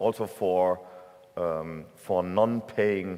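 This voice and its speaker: A man with a German accent and ordinary pitch variation. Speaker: tech association executive, keynote speaker. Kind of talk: conference keynote. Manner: hesitant with fillers.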